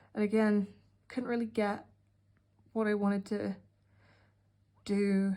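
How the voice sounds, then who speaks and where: Slow and flat, a woman's medium-pitched voice has a dark, mellow tone, very even loudness, monotone intonation, a fairly slow pace and long, frequent pauses. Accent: British. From UK. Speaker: art hobbyist vlogger. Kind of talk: casual narration. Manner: sarcastic.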